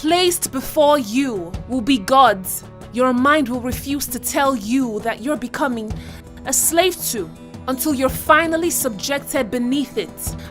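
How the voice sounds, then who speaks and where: With music in the background, a woman speaks at a high pitch and a fairly slow pace, her intonation lively. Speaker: spoken word poet. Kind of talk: spoken word poetry performance.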